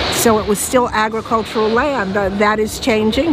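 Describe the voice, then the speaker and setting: Against noticeable background noise and audible room echo, a woman with an American accent speaks at a fairly high pitch in a monotone, flat intonation. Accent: American, noticed by locals as foreign. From United States. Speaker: market owner. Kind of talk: interview. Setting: outdoors at a market.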